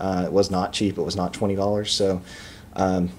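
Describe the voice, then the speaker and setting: Speaking in an American accent, a man with a very deep, low pitch keeps a monotone, flat intonation. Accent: Texan, noticeable at times. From Texas. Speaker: video game reviewer. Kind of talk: casual product review vlog. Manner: casual, many filler words.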